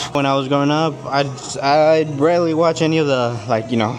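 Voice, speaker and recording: Music plays in the background and the room echo is audible. A man speaks at a moderate pace with fairly even intonation. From US, Mexican-American family. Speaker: fitness vlogger. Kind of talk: casual vlog monologue. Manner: halting, repeats words; casual, slangy.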